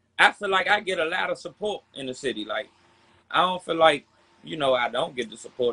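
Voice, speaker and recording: Fairly quick and lively in intonation, a man speaks with a fairly high pitch and vocal fry. His loudness swings widely. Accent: American. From Southeast Washington DC. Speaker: rapper. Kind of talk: casual interview.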